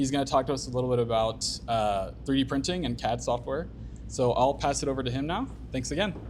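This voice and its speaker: A man speaks at a very fast pace. The room echo is audible. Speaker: meetup organizer. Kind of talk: event introduction. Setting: stage with audience. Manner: monotone.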